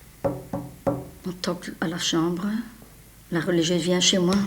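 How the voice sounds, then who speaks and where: Very slow speech from a woman. Noticeable background noise is present. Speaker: war survivor giving testimony. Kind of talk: testimony.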